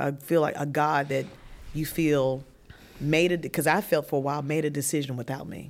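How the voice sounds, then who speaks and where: In a Southern US accent, a woman speaks with a very deep, low pitch. Her intonation is monotone and flat. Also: moderate pace. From Virginia. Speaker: widow sharing her grief story. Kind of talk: testimony.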